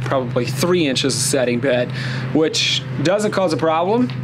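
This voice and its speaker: A man speaks at a fairly quick pace while music plays behind him. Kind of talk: tutorial. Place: street.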